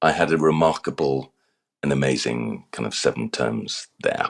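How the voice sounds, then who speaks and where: A man talks with an RP accent. The sound is dry and close, with no echo. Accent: English (RP-like). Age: 60s. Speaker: former actor and communications coach. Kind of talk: interview. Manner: halting, repeats words.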